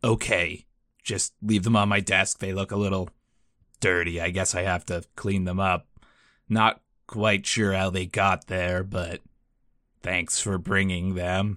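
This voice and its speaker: In a put-on character voice, a man speaks deadpan and raspy at a very deep, low pitch, his intonation monotone and flat, his pace fairly slow with long, frequent pauses, on a very clean recording with a silent background. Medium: actual play. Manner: deadpan, flat.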